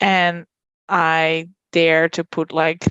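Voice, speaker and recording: A woman speaks with a Dutch accent. Her pitch is fairly low. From Netherlands. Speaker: podcast guest, mother. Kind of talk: casual chat. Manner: halting.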